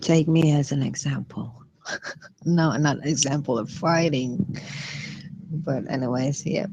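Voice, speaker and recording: A woman speaks fairly slowly at a very deep, low pitch with ordinary pitch variation. Her pauses are long and frequent, and background noise is noticeable. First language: not English. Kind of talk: casual chat.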